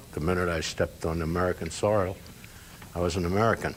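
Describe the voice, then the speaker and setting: A man with a very deep, low pitch talks at a very fast pace with ordinary pitch variation. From Germany. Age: 80s+. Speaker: Holocaust survivor and US Army veteran. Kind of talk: interview answer.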